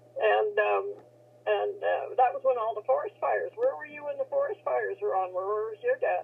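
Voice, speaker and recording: The woman talks at a moderate pace while noticeable background noise goes on around her. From Saskatchewan, Canada. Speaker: military veteran. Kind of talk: interview, reminiscing. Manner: halting.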